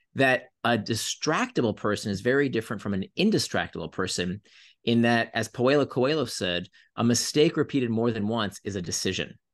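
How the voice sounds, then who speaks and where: Against a quiet background, a man with an American accent speaks at a medium pitch and fairly quick pace. He has an ordinary speaking voice with lively intonation. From US, Florida. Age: 40s. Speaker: author and tech entrepreneur. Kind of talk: interview conversation.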